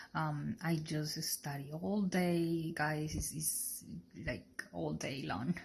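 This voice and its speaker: A woman with a Colombian accent speaks very slowly in a somewhat breathy voice. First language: Spanish. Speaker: sonography student. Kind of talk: personal testimony. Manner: halting.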